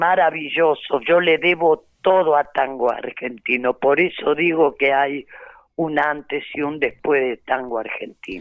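Speaking fairly slowly, a woman uses a very deep, low pitch. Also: ordinary pitch variation. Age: 80s+. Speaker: tango dancer. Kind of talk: interview. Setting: phone or remote call.

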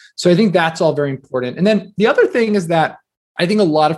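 With an American accent, the speaker moves at a fairly quick pace using lively intonation. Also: man. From US Northeast (New Jersey). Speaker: entrepreneur and author. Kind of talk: interview conversation. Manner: casual, filler-heavy.

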